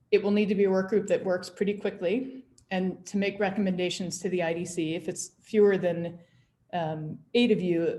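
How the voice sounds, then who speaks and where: Her tone is dark and mellow, with fairly low pitch and fairly even intonation. The woman sounds somewhat breathy and speaks at a fairly quick pace. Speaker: public commission staff presenter. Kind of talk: public meeting presentation. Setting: video call.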